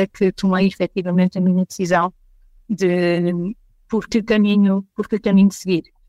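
A woman speaks at a medium pitch in a flat monotone, her voice dry and close with no echo on a very clean recording against a silent background. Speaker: consulting firm partner. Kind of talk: casual interview chat.

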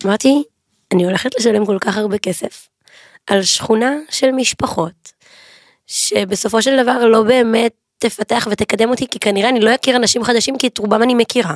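Here a woman has a normal speaking voice, fairly high in pitch, with fairly even intonation at a moderate pace. The sound is dry and close, with no echo. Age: 20s. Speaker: pastry business owner. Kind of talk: casual chat. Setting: studio.

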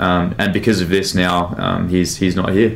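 Speaking at a moderate pace, a man with a very deep, low pitch is heard amid audible room echo and noticeable background noise. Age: 20s. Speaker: former boxer and mentor. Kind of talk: casual chat.

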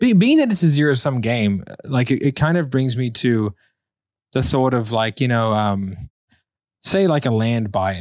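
A man with an American accent speaks in a normal speaking voice at a moderate pace and medium pitch. His intonation is lively, his loudness very even, and the recording very clean with a silent background. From United States. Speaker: podcast host, entrepreneur. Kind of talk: casual interview.

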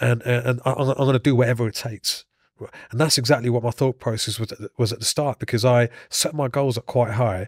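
Over a silent background in a very clean recording, a man speaks very fast and somewhat breathily at a medium pitch, with fairly even intonation and a dry, close sound with no echo. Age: 40s. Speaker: former MMA fighter turned actor and stuntman. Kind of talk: interview conversation. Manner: hesitant, many fillers.

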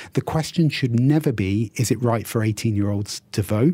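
With a British accent, a man talks at a moderate pace in a medium pitch, his tone dark and mellow and somewhat breathy. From UK. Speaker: university dean. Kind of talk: radio interview.

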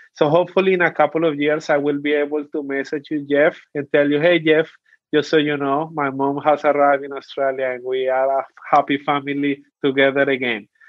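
In a Colombian accent, a man speaks at a fairly high pitch with monotone, flat intonation. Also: fairly quick pace. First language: Spanish. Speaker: youth policy officer. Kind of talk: interview.

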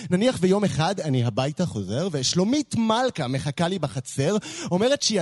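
A man's high voice at a moderate pace, dry and close with no echo. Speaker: slam poet. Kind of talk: spoken word poetry. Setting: stage with audience.

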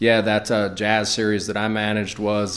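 A man with a fairly low pitch speaks at a moderate pace. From Greenville, South Carolina. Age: 40s. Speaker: bar owner and entrepreneur. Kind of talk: interview. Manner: halting, many fillers.

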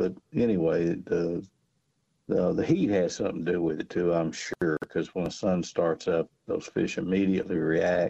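A man with a Southern US accent, dry and close with no echo. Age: 60s. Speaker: fishing guide. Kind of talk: casual radio chat. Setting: phone call.

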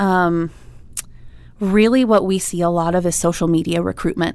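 On a very clean recording with a silent background, a woman with an American accent speaks in a normal speaking voice at a moderate pace, with fairly even intonation. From Iowa, Des Moines. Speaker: nonprofit co-founder. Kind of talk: interview.

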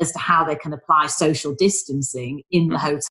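Using fairly even intonation, a woman with a Manchester accent talks at a fairly quick pace. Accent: Mancunian northern English. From Manchester, northern England. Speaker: business mentor and former travel executive. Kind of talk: casual interview.

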